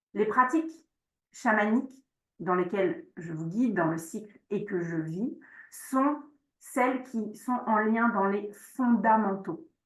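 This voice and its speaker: Somewhat breathy speech at a very slow pace, broken by long, frequent pauses. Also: woman, fairly high pitch for a woman. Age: 40s. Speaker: shamanic practice teacher. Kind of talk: online workshop presentation with Q&A. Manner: hesitant, many fillers.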